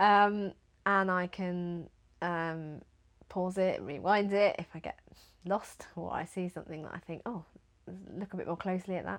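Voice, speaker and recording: With long, frequent pauses and big swings in loudness, a woman at medium pitch speaks in a monotone, flat intonation. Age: adult. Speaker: knitting podcaster. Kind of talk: casual chat. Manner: fast; hesitant with many fillers.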